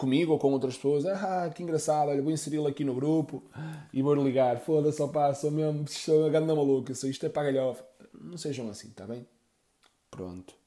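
A man's fairly high but dark, mellow voice, fairly quick, with ordinary pitch variation and big swings in loudness. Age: 30s. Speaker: podcaster. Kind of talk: casual monologue. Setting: at home. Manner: animated.

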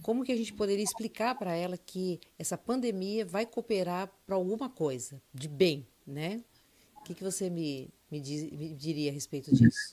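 A woman at a medium pitch with very wide pitch swings, a dark, mellow tone and a moderate pace. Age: 60s. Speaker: church member and co-host. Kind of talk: casual chat.

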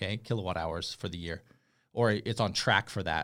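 With a normal speaking voice and ordinary pitch variation, a man talks at a moderate pace on a very clean recording with a silent background. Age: 40s. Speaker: solar sales advisor. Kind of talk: tutorial. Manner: casual, with many fillers and restarts.

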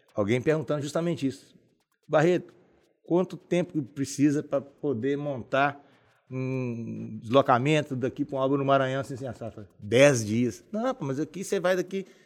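In an ordinary speaking voice, a man talks at a moderate pace and medium pitch with ordinary pitch variation. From Governador Valadares, Minas Gerais, Brazil. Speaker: civil engineer. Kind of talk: casual interview.

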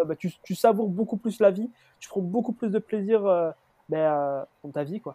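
A man's high, dark, mellow voice with a southern French accent, ordinary pitch variation, big swings in loudness and a moderate pace, dry and close with no echo. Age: 20s. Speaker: student entrepreneur. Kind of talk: casual chat. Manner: halting.

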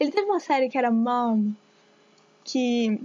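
High-pitched female voice, its pitch moving in an ordinary way. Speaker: radio co-host, journalism student. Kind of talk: casual chat.

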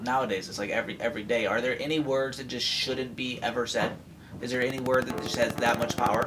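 Noticeable background noise behind a man's medium-pitched voice at a fairly quick pace. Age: 30s. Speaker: podcast host. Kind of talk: casual chat.

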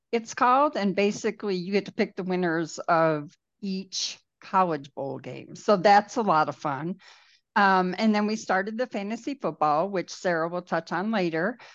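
This is an unremarkable speaking voice with an American accent, moving at a moderate pace with ordinary pitch variation. The background is quiet. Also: woman, medium pitch for a woman. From New York. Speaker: office worker on a proposal team. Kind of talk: casual chat.

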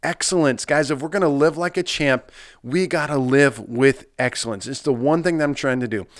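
In a normal speaking voice, a man with an American accent talks fairly quickly at a fairly high pitch with ordinary pitch variation, on a very clean recording with a silent background. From US Midwest, Nebraska. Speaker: pastor and podcast host. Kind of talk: solo podcast talk, motivational.

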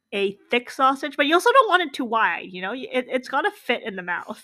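In a Canadian accent, a woman uses a raised, projected voice at a high pitch, speaking at a fairly quick pace with an animated tone and very wide pitch swings. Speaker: podcast host. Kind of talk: casual banter, comedic chat. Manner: animated, joking.

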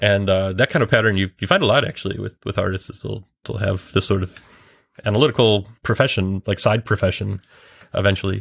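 A man talks at a fairly quick pace in a fairly low, somewhat breathy voice with fairly even intonation. The sound is dry and close with no echo, on a very clean recording with a silent background. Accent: Midwestern. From US Midwest, Chicago. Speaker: designer and developer of a drawing app. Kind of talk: casual podcast interview.

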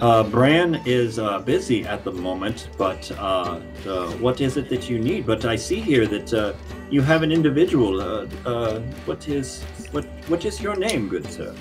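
A man's put-on character voice at medium pitch and moderate pace, with clear music in the background. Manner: warm, theatrical, hesitant with many pauses.

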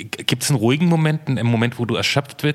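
A man talks at a fairly quick pace with ordinary pitch variation, with noticeable background noise behind him. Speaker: podcast co-host. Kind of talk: casual chat.

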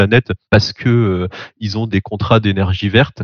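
In an ordinary speaking voice, a man talks at a moderate pace with fairly even intonation, the sound dry and close with no echo. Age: 30s. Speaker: tech company co-founder. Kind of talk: interview.

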